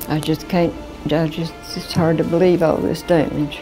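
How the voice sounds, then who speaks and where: Music plays in the background as a woman with an Appalachian accent speaks at a fairly low pitch. Her pace is fairly slow and her intonation fairly even. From Eastern Kentucky. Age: 80s+. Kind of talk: interview answer.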